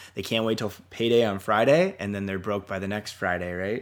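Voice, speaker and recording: A man with a Canadian accent speaks in an unremarkable speaking voice at a fairly low pitch with ordinary pitch variation, in a very clean recording with a silent background. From Canada. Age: 30s. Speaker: army reservist and real estate agent. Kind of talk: interview.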